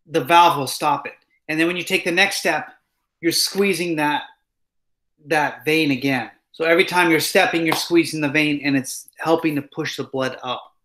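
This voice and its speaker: A man speaks at a moderate pace in a bright, sharp tone with fairly even intonation. He leaves long, frequent pauses. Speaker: instructor. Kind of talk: lecture. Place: home room. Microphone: webcam.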